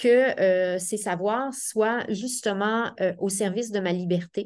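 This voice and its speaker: Speaking very slowly with lively intonation, a woman with a fairly high pitch talks in a Quebec accent against a quiet background. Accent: Québécois French. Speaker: professor of education. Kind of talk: seminar talk. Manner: hesitant, many fillers.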